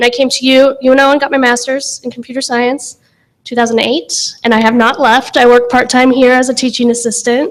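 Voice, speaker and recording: A woman speaks in a high voice with a Midwestern American accent. Her delivery is fairly quick and flat, almost monotone. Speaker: software developer. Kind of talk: panel talk.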